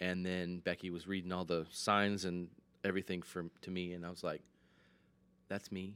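In an American accent, a man with a very deep, low pitch speaks at a moderate pace in a monotone, flat delivery broken by long, frequent pauses. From Michigan. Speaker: ice cream business owner. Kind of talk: interview conversation.

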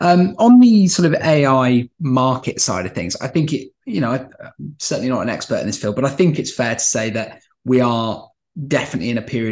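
Speaking with a British accent at a moderate pace, a man uses a medium pitch and lively intonation. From London, England. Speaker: podcast host. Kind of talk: interview conversation. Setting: video call.

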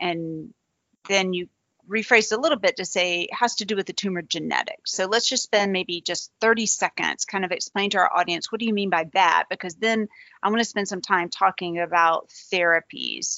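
A woman with a Southern US accent talks at a moderate pace and medium pitch. Her tone is animated and enthusiastic, with ordinary pitch variation. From US South, Georgia. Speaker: interviewer, cancer researcher host. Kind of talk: interview, conversational. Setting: video call. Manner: animated, enthusiastic.

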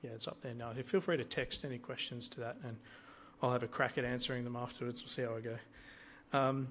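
A man talks with an Australian accent. His pitch is medium and his pace fairly quick. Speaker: lay preacher. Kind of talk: sermon. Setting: church. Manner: hesitant, many fillers.

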